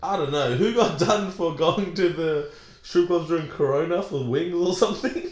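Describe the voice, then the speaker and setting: Noticeable background noise sits behind an animated tone delivered at a moderate pace with ordinary pitch variation. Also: man, high pitch for a man. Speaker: comedian. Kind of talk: casual banter. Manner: animated, joking.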